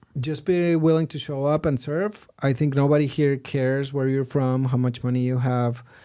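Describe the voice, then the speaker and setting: A man with a Mexican accent speaks at a moderate pace, barely pausing. His fairly high voice has a dark, mellow tone and fairly even intonation. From Mexico. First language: Spanish. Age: 40s. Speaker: digital marketing entrepreneur, podcast guest. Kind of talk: casual interview conversation. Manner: halting, with repeated words.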